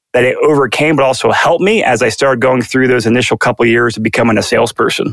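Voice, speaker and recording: This man has a normal speaking voice, medium in pitch, with ordinary pitch variation and an American accent. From Virginia, DC suburbs. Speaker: real estate agent and investor. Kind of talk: interview, casual conversational.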